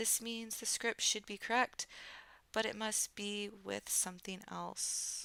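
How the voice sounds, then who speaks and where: Dry and close with no echo, a woman's voice with an American accent moves at a very slow pace. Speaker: streamer learning game development. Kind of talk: live stream tutorial work, casual.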